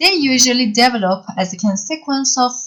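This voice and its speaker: A woman speaks in a Persian accent. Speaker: university lecturer. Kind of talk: lecture. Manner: halting.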